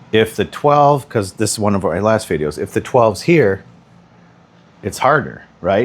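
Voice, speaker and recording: Quiet and fairly low-pitched, a man speaks with lively intonation. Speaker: pool instructor. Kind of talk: tutorial. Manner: casual.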